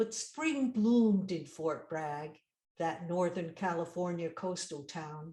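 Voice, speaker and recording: A woman of medium pitch at a fairly slow pace, her dark, mellow tone somewhat breathy and her intonation lively. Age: 80s+. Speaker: poet. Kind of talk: poetry reading. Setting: video call.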